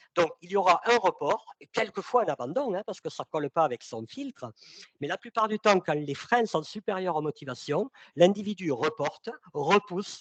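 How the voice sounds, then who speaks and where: A man with a high pitch talks at a moderate pace, making very wide pitch swings and big swings in loudness, in a dry, close sound with no echo. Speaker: sales consultant and trainer. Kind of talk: webinar presentation. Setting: online webinar. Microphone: mic too close, speaker moved it away.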